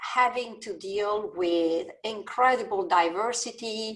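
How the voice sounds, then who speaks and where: A woman speaks with an Italian accent. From Italy. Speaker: business school dean. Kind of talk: panel discussion.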